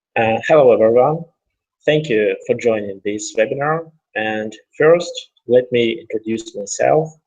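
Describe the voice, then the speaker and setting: A man speaks in a Russian accent at a fairly slow pace. He leaves long, frequent pauses. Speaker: options trader and educator. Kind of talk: webinar presentation. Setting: online webinar.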